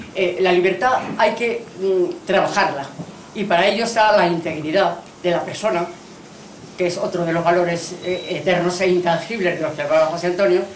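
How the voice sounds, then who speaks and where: A woman with a fairly low pitch and fairly even intonation at a moderate pace, with noticeable background noise and audible room echo. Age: 80s+. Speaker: former instructor, event speaker. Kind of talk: commemorative speech. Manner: halting, many fillers.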